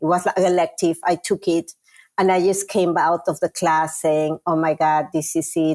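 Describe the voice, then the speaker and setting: A woman with a fairly low voice talks at a moderate pace and fairly even intonation, in a very clean recording with a silent background and a dry, close sound with no echo. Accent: Peruvian. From Peru. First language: Spanish. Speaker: chief marketing officer. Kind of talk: interview.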